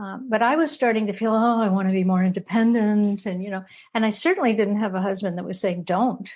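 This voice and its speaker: Speaking at a moderate pace, a woman sounds somewhat breathy. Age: 70s. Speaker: couple therapist. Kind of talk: interview. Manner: halting.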